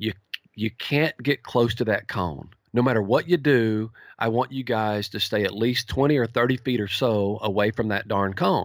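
A man speaks at a moderate pace with a Texan accent and ordinary pitch variation. The sound is dry and close, with no echo. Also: medium pitch for a man. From East Texas. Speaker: horse trainer. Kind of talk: interview. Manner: easygoing; clear.

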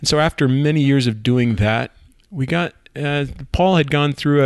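Man with an unremarkable speaking voice, moderate pace and ordinary pitch variation. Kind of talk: casual chat.

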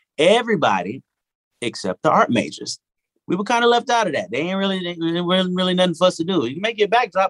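A man's high-pitched voice at a very fast pace, with big swings in loudness and a dry, close sound with no echo. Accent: Southern US. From US South, Arkansas. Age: 40s. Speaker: singer-songwriter. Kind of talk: casual interview chat. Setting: home recording studio, remote.

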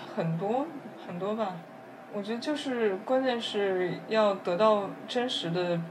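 Speech comes at a very slow pace, with audible room echo and noticeable background noise. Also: woman, medium pitch for a woman, ordinary pitch variation. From Beijing, China. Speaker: neuroscience PhD student. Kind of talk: casual interview conversation.

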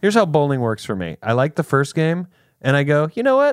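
A man with an American accent at fairly high pitch, very wide pitch swings, dry, close sound with no echo, and a very clean recording with a silent background. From US South, South Carolina. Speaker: podcast host. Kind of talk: casual chat. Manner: animated.

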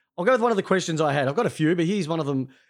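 In a very clean recording with a silent background, a man with an Australian accent speaks at a high pitch with lively intonation. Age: 40s. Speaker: sports podcast host. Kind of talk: casual chat.

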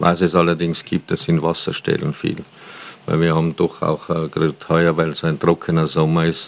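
A man's very deep, low voice at a moderate pace with monotone, flat intonation. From Austria, Tyrol (Paznaun valley). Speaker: regional hunting association head and wine tavern owner. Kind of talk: interview. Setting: on location at his wine tavern, mobile recording.

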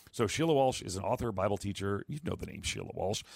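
Ordinary in pitch variation, a man talks at a very fast pace. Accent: American. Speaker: radio host. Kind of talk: call-in radio show. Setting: broadcasting remotely from the UK.

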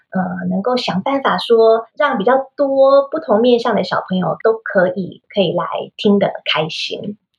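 Music plays in the background as a woman speaks. Her pitch is fairly high, her pace fairly slow, and her intonation lively. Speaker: children's English teacher and podcaster. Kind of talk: interview.

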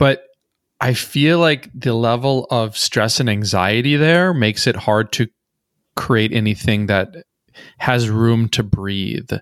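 Speaking very slowly with an American accent, a man holds a medium pitch, ordinary pitch variation and very even loudness on a very clean recording with a silent background. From rural Minnesota, US Midwest. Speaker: poet and meme creator. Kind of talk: casual interview conversation.

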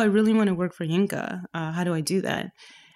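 In a Canadian accent, a normal speaking voice with ordinary pitch variation comes through a very clean recording with a silent background. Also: woman. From Canada, Toronto. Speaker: painter. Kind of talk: casual interview.

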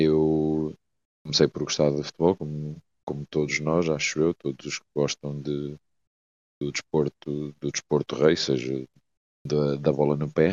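Very deep and low, a man speaks fairly slowly in a monotone, flat delivery with long, frequent pauses and big swings in loudness. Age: 30s. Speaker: futsal coach. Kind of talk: casual chat.

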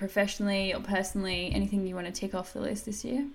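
The speaker uses an Australian accent at a fairly quick pace. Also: woman. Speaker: podcast host and dietitian. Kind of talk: podcast interview.

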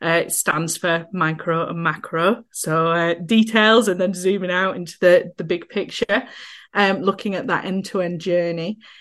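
At a moderate pace and with fairly even intonation, a woman of medium pitch speaks in a Yorkshire accent against a quiet background. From northern England, Yorkshire. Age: 30s. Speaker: accessibility consultant, wheelchair user. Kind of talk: casual interview chat.

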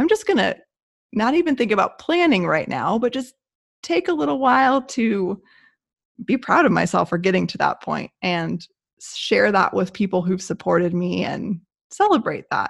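A woman's medium-pitched voice with vocal fry and a warm tone, at a moderate pace with very wide pitch swings, over a quiet background. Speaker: podcast co-host. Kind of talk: casual podcast chat. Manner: warm, conversational.

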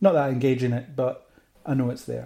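A somewhat breathy man with a Central Belt Scottish accent, medium pitch, dark, mellow tone and fairly quick pace. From Scotland, Falkirk. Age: 30s. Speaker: geek culture blogger and podcaster. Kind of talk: casual interview chat.

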